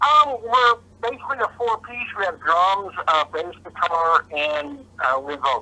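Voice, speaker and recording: A man's high-pitched, raised and projected voice with a bright, sharp tone, very wide pitch swings, big swings in loudness and a fairly slow pace. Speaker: rock band guitarist. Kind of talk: interview.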